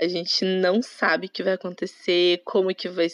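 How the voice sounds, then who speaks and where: A woman speaks at medium pitch and a fairly slow pace in an ordinary speaking voice, the sound dry and close with no echo over a quiet background. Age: 20s. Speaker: tourism student, former exchange worker. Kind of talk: casual interview chat.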